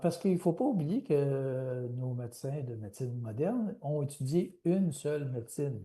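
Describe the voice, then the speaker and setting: Somewhat breathy with a dark, mellow tone, a man speaks at a medium pitch and moderate pace with ordinary pitch variation. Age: 60s. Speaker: author and researcher. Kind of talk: interview. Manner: halting, many hesitations.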